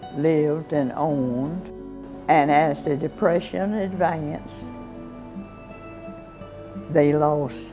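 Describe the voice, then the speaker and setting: A woman's very deep, low voice at a very slow pace, with clear music in the background. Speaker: interviewee. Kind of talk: interview answer. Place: home room.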